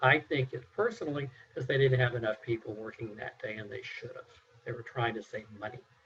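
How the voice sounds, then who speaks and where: Here a man has an unremarkable speaking voice, medium in pitch and moderate in pace. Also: big swings in loudness. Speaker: mock juror. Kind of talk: jury deliberation.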